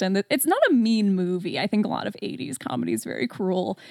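In an American accent and a plain, everyday voice, a woman speaks at medium pitch and a moderate pace with lively intonation, the sound dry and close with no echo. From US Midwest, Metro Detroit, Michigan. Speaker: horror podcaster. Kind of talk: casual chat.

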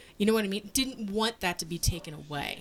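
A woman speaks at a moderate pace with ordinary pitch variation. Hers is an unremarkable speaking voice. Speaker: podcast host. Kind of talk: casual chat, bantering patter like a radio DJ. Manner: bubbly, chatty, hosty.

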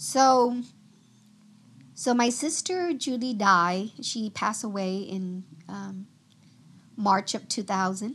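A woman with a Vietnamese accent speaks at a very slow pace, pausing long and often. Her fairly high pitch varies in an ordinary way, and her loudness swings widely. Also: quiet background. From Vietnam, moved to US near age ten. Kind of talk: testimony.

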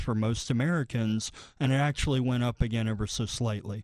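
An ordinary speaking voice from a man, with fairly even intonation. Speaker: financial planner, co-host. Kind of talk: radio talk show, conversational.

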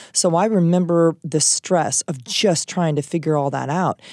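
A woman with an American accent talks at a moderate pace in a very deep, low pitch with ordinary pitch variation. The recording is very clean, dry and close, with a silent background and no echo. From Iowa. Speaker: high school English teacher. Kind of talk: casual chat. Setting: studio.

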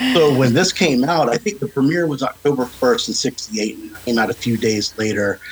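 A man with an ordinary speaking voice talks at a moderate pace and medium pitch, his intonation lively. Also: hardly any pauses. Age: 40s. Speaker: horror podcast co-host, guest. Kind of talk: casual chat.

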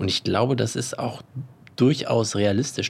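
Somewhat breathy, a man's medium-pitched voice moves at a moderate pace with ordinary pitch variation. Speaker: podcast co-host. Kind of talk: casual chat. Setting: outdoors on a terrace.

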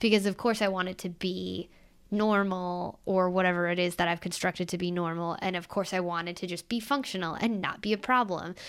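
On a very clean recording with a silent background, a woman at a medium pitch speaks at a fairly quick pace with fairly even intonation. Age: 20s. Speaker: podcast co-host. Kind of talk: casual chat. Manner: halting, many fillers.

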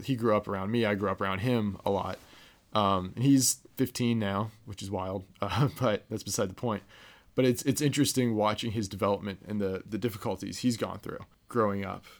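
A moderate pace, fairly even intonation, and a Midwestern American accent. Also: man, fairly low pitch for a man. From Ohio, US Midwest. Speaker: podcast guest, friend of host. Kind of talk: casual chat.

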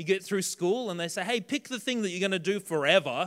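A man with an Australian accent, at a fairly quick pace with ordinary pitch variation. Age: 30s. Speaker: pastor. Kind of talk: sermon. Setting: church.

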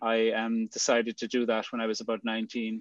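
A man with an Irish accent speaks in a medium-pitched voice and monotone, flat intonation, with a dry, close sound with no echo and a quiet background. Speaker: podcast co-host. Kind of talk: casual anecdote. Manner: hesitant, stumbling, humorous.

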